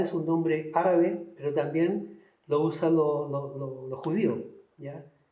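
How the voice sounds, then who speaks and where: A man with a fairly high pitch talks at a fairly slow pace with fairly even intonation, and audible room echo surrounds his voice. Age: 60s. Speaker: painter. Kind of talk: interview. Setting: cultural center. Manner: halting, repetitive.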